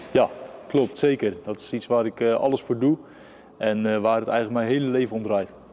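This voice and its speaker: Fairly quick, fairly even speech from a man at medium pitch, dark and mellow in tone. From Netherlands, Zeeland (Middelburg). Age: 20s. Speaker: boxer. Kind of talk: interview. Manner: hesitant, many filler sounds.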